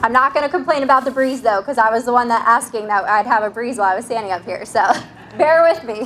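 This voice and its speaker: Speech races along at a very fast pace with ordinary pitch variation. Noticeable background noise runs underneath. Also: woman, high pitch for a woman. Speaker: hospital executive. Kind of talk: ceremony speech. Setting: outdoors with PA system. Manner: projecting voice. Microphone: quiet speakers.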